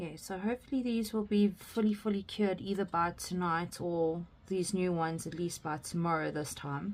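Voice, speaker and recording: A quiet woman at medium pitch, moderate pace and ordinary pitch variation, with hardly any pauses. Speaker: craft YouTuber. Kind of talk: casual craft tutorial. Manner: quiet while concentrating; casual, many fillers.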